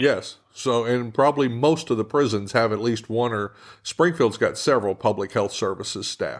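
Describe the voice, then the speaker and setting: This man has a normal speaking voice with an American accent, pitched at a medium level with ordinary pitch variation. He talks at a moderate pace on a very clean recording with a silent background. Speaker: podcast host, former prison officer. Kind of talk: interview host talk.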